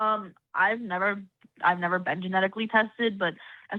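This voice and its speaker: In an ordinary speaking voice, a woman talks with fairly even intonation. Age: young. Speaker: patient guest. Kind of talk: casual chat.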